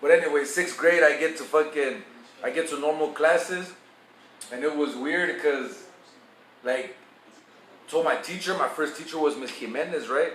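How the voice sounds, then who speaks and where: A fairly high-pitched man speaks at a moderate pace with ordinary pitch variation and long, frequent pauses. Noticeable background noise and audible room echo fill the recording. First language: Spanish. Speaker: vlogger giving advice. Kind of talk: casual storytelling monologue. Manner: casual, profane, code-switching.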